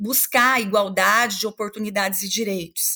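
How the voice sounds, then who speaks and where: The tone is bright and sharp, with ordinary pitch variation and a very clean recording over a silent background. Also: woman. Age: 40s. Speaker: law professor. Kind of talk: interview.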